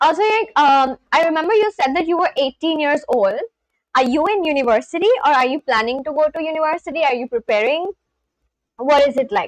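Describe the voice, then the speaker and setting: Recorded dry and close with no echo, a woman with an Indian accent speaks at a fairly quick pace in a high pitch with lively intonation. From India, West Bengal. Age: 20s. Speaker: live streamer. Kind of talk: casual chat.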